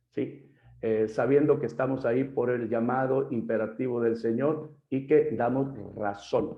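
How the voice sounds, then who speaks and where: A man with a normal speaking voice talks at a fairly slow pace, with medium pitch and fairly even intonation. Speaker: pastor. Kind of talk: lecture.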